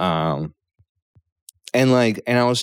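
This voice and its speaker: The pitch moves in an ordinary way. This man talks fairly slowly. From Poland, with years in the US. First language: Polish. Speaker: stand-up comedian. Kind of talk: casual chat.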